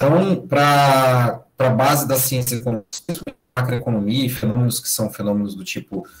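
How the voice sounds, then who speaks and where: A man with a medium-pitched voice and ordinary pitch variation keeps a moderate pace. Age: 30s. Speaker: university lecturer. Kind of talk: lecture.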